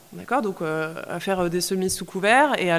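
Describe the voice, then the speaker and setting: A woman speaks at a moderate pace with medium pitch and ordinary pitch variation. She has a plain, everyday voice. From France, Paris suburbs. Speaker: activist and former finance professional. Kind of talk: casual discussion.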